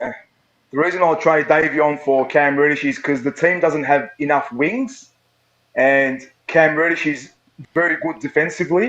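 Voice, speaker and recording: The speaker has an Australian accent and talks at a moderate pace with ordinary pitch variation. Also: man. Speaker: caller. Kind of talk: call-in discussion.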